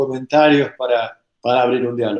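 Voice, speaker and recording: A man's dark, mellow tone comes through audible room echo against a quiet background. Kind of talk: recorded video message. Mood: warm, cordial. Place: home room. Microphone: webcam.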